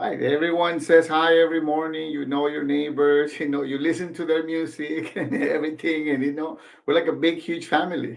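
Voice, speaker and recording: In a room with audible echo, a man with a Spanish accent talks fairly quickly in a fairly high, monotone, flat voice, with hardly any pauses. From Mexico (Michoacán, small town), moved to Los Angeles at 16. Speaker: franchise business owner. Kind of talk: interview.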